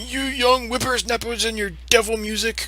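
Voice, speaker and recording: A man in a put-on character voice with an extremely high pitch, raised and projected at a moderate pace, over noticeable background noise. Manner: grumpy, scolding.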